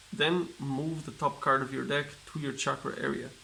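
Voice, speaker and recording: A man with a non-native accent speaks at a moderate pace. His pitch is fairly high and his intonation fairly even. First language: not English. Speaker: card game YouTuber. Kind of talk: casual unboxing commentary. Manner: reads card text aloud, halting.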